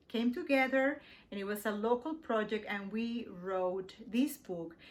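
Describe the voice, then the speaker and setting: A woman with a Spanish accent speaks at a fairly slow pace, her fairly high pitch carried by lively intonation. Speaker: poet. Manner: halting.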